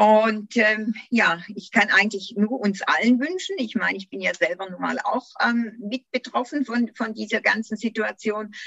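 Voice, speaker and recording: A woman with a normal speaking voice talks at a fairly slow pace and a fairly high pitch, with ordinary pitch variation, big swings in loudness, hardly any pauses, and a dry, close sound with no echo. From Germany, Göppingen district (Swabia). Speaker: podcast host, English teacher and tour guide. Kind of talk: casual interview.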